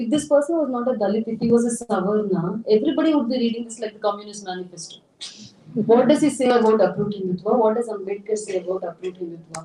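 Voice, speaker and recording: A woman with a Tamil accent talks at a very fast pace in a fairly high voice with ordinary pitch variation. Noticeable background noise runs under her speech. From India, Tamil Nadu. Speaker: writer and translator. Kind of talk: public talk Q&A.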